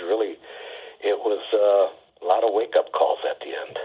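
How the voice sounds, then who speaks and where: A man speaks with an Upper Midwest accent. His pace is fairly slow. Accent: Upper Midwest American. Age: 70s. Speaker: poet. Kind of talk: interview.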